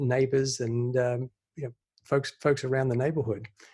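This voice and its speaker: Somewhat breathy, a man with an Australian accent speaks at a medium pitch. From Australia, Sydney. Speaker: investor. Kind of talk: podcast interview.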